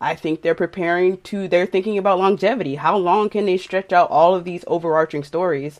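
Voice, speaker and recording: The voice moves at a fairly quick pace with hardly any pauses. The background is quiet. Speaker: podcast guest. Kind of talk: casual chat.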